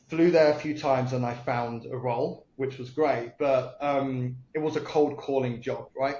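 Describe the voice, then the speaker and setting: A man with a British accent talks at a moderate pace with hardly any pauses, at a medium pitch. His intonation is monotone and flat, and the room echo is audible. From UK. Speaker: entrepreneur. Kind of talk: podcast interview. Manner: occasional hesitations and fillers.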